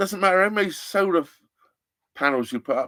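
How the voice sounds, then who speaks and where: A man speaks at a high pitch with lively intonation and an animated tone. The recording is very clean, with a silent background. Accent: English. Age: 60s. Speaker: narrowboat vlogger. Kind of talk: live stream chat.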